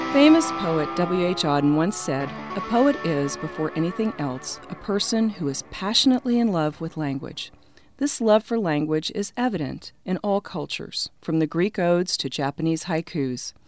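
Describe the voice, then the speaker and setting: Music plays in the background as a woman talks at a moderate pace. Her fairly low voice has lively intonation. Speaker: radio host. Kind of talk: radio interview.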